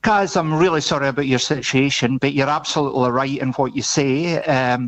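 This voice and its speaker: This man has a Scottish accent and a fairly high pitch. His pitch moves up and down an ordinary amount. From Scotland. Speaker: aged care expo organiser. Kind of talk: radio interview. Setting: studio. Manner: halting.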